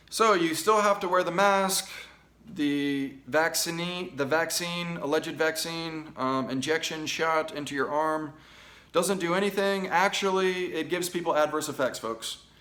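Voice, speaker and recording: A man with an American accent speaks loudly at a fairly slow pace, his high voice bright and sharp in tone with ordinary pitch variation. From United States. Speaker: political commentary show host. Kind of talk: opinion commentary reading news articles. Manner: animated.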